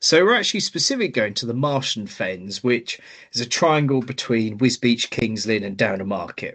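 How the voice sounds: A man with a Norfolk accent, medium pitch and moderate pace. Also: ordinary pitch variation.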